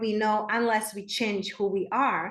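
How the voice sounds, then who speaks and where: Someone speaks with a Czech accent in a space with audible room echo. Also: woman. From Czech Republic, small town. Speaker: spiritual coach. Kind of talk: podcast interview.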